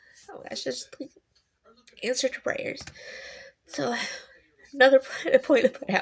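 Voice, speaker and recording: A woman talks at a moderate pace with long, frequent pauses. Her loudness swings widely. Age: 40s. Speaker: vlogger. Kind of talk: casual personal monologue.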